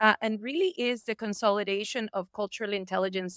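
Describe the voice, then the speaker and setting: A woman with a Spanish accent speaks fairly quickly at a fairly high pitch. The recording is very clean and the background silent. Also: dry, close sound with no echo. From Colombia. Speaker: entrepreneur and business commentator. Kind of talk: podcast interview. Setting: airport lounge.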